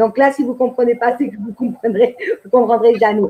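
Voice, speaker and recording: A woman's high-pitched voice at a moderate pace. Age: 60s. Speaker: activist and patient. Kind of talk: testimony.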